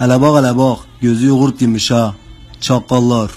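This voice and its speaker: Music plays in the background as a man speaks with a southeastern Anatolian accent. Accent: Urfa dialect of Turkish. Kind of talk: comedy sketch dialogue.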